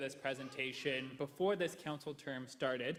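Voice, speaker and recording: This man talks at a moderate pace with a fairly high pitch in a plain, everyday voice. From Canada, Ingersoll, Ontario. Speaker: history professor. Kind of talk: presentation. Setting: council chamber with mic.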